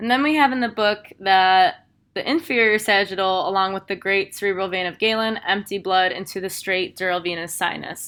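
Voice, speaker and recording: A woman at medium pitch, fairly quick and with hardly any pauses, ordinary pitch variation, very clean recording and silent background. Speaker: instructor. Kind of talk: lecture. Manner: fast.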